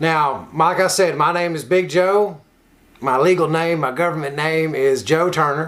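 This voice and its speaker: Over noticeable background noise, a man with a slight Kentucky accent talks fairly slowly at a fairly high pitch with fairly even intonation. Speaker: recovery nonprofit worker and online show host. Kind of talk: casual motivational talk.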